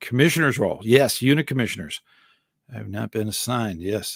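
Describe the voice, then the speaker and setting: Recorded very cleanly over a silent background, a man speaks at medium pitch with ordinary pitch variation. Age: 60s. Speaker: scouting volunteer and live-stream host. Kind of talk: live stream Q&A answering chat. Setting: solo live stream. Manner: casual, with many fillers and restarts.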